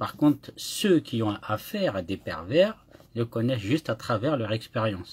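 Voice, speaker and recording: A man talks at a medium pitch and fairly slow pace. His voice is somewhat breathy with lively intonation. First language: Kabyle (speaking French). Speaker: YouTuber. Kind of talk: live monologue. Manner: halting, with repetitions.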